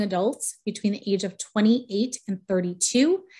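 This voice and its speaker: A woman's voice sits at a fairly high pitch with ordinary pitch variation. It is somewhat breathy and has a dark, mellow tone. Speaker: real estate economist, researcher. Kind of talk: presentation with slides. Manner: fast.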